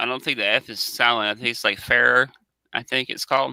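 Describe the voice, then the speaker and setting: A man with a Southern US accent talks at a fairly quick pace and medium pitch in a bright, sharp tone. The recording is very clean, with a silent background. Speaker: watch channel co-host. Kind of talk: casual chat. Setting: live stream.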